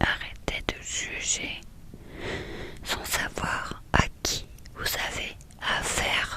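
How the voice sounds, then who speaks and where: A woman whispering at a very slow pace, with long, frequent pauses and noticeable background noise. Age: 30s. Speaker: ASMR creator. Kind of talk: ASMR talk to viewer. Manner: whispered.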